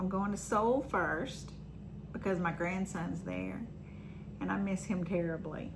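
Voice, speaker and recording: A woman talks at a fairly slow pace. There is noticeable background noise and audible room echo. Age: 60s. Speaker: vlogger. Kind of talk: personal vlog monologue. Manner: casual, with filler ums.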